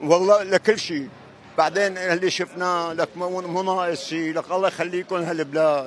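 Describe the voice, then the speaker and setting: Here is a man with a Syrian accent and a high pitch. He keeps a moderate pace and fairly even intonation. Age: 70s. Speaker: pilgrim. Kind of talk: street interview. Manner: emotional.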